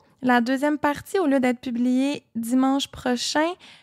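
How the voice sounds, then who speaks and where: A woman with a Quebec accent speaks at a high pitch and a fairly slow pace. The recording is very clean with a silent background and a dry, close sound with no echo. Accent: Québécois. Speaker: podcast co-host. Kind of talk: true crime storytelling; casual chat.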